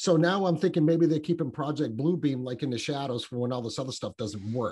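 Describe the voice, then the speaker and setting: This man's voice is fairly high, somewhat breathy, and dark and mellow in tone. He talks at a fairly quick pace with ordinary pitch variation. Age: 50s. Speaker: podcaster. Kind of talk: casual chat. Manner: halting.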